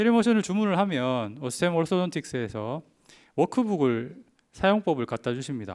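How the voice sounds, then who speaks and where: On a very clean recording with a silent background, the voice moves at a moderate pace with very wide pitch swings. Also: man, fairly high pitch for a man. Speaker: orthodontist giving a symposium talk. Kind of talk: lecture. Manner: frequent filler hesitations.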